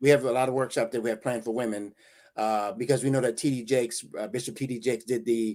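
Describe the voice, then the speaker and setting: Very fast and medium-pitched, a man with an American accent speaks with ordinary pitch variation on a very clean recording with a silent background. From New Jersey, early childhood in rural Virginia. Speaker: motivational speaker and coach. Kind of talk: interview.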